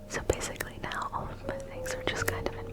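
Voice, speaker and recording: Someone whispers over noticeable background noise. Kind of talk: ASMR room tour. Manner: whispered.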